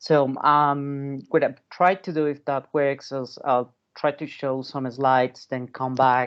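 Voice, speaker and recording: A man with a non-native accent, fairly high pitch, monotone, flat intonation, a very slow pace and hardly any pauses. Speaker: legal scholar and author. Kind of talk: academic talk. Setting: video call.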